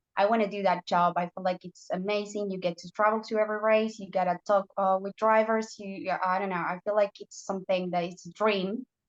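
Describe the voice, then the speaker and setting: Fairly quick speech in a Spanish accent with hardly any pauses, monotone, flat intonation and big swings in loudness, dry and close with no echo. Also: woman, medium pitch for a woman. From Argentina. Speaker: motorsport journalist. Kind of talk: casual interview chat. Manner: halting.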